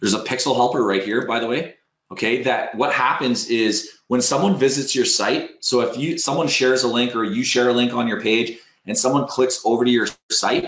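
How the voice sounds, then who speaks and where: A man's medium-pitched voice, fairly quick and with fairly even intonation. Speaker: SEO software webinar presenter. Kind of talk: tutorial webinar with screen demo. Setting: online webinar. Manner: fast.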